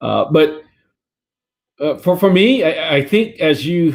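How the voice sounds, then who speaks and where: A man speaks with a Vietnamese accent. His pitch varies in an ordinary way. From Vietnam, moved to US at ten. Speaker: career fair speaker, tech company employee. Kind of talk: career talk to children. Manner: halting, many repeated words.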